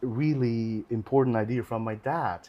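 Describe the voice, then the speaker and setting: A man with a Chinese accent against a quiet background. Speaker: orchestral horn player. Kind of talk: casual chat. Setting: live video stream. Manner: halting.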